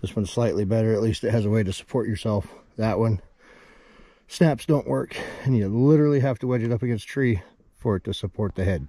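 A man's dark, mellow voice with lively intonation at a very fast pace, a dry sound with no echo and a quiet background. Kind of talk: casual vlog chat. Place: open country. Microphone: phone near.

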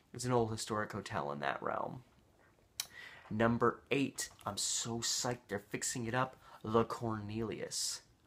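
Fairly slow pace from a man. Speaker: local history vlogger. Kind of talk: casual vlog chat. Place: home room. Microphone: webcam.

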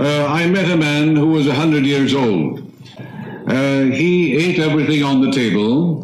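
A man keeps a moderate pace while noticeable background noise is heard around him. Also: fairly high pitch for a man, ordinary pitch variation, very even loudness. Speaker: minister and lecturer. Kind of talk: live lecture.

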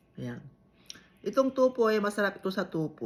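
A woman's voice in an Ilocano accent, with very wide pitch swings. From Ilocos region, Philippines. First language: Ilocano (speaking Tagalog). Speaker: vlogger. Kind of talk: casual vlog chat.

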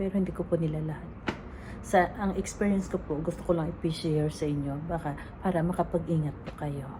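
The speech comes at a fairly quick pace with fairly even intonation against noticeable background noise. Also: woman. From Philippines. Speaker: overseas caregiver vlogger. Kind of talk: personal testimony vlog. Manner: halting.

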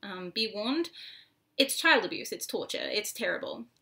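The background stays quiet. A bright, sharp tone carries the voice. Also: woman. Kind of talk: casual talk to camera. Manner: stuttering, with pauses. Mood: earnest, concerned. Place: home room.

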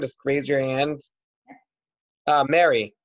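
The background is quiet. A man is speaking. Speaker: rabbi and moderator. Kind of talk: moderated discussion. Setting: video call. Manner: halting. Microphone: video call.

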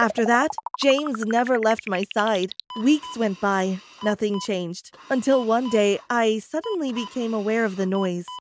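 Over music in the background, a woman with a fairly high voice speaks at a moderate pace with ordinary pitch variation. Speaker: storyteller. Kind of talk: dramatic first-person storytelling narration.

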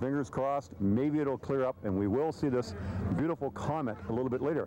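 Light background noise sits under a dry sound with no echo as a man speaks at a fairly quick pace. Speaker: TV show host reporter. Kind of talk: on-location report. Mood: upbeat despite clouds. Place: open country. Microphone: handheld.

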